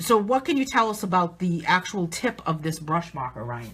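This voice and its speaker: This woman talks with a New England accent at a medium pitch. Her pitch swings very widely. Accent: New England accent, noticeable. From southern New England. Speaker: artist and coloring book author. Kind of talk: live stream tutorial, casual chat. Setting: live video stream.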